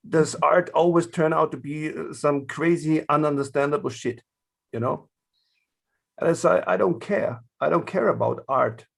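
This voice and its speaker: Over a very clean, silent background, a man with a German accent speaks at a moderate pace. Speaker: art therapist in prisons. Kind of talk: panel discussion. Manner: halting, many fillers.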